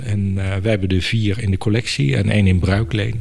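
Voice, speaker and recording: Fairly low in pitch with fairly even intonation, a man talks at a fairly quick pace amid noticeable background noise and audible room echo. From Netherlands, Apeldoorn (Gelderland). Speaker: museum director. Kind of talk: interview.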